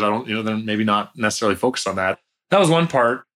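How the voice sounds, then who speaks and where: A man with a Canadian accent talks at a very fast pace in a fairly low pitch with ordinary pitch variation. His tone is bright and sharp, on a very clean recording with a silent background. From Canada, near Toronto. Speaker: tech startup founder and CEO. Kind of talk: casual interview chat.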